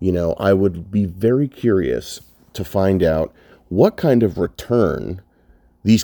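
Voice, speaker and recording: A man speaks in a very deep, low pitch with a dark, mellow tone and ordinary pitch variation. The sound is dry and close with no echo, on a very clean recording with a silent background. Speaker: blogger. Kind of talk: casual monologue rant. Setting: lying down while recording. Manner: hesitant, many fillers.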